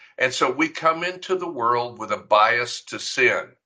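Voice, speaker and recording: A man with a bright, sharp tone speaks at a very slow pace. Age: 70s. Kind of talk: bible teaching lecture.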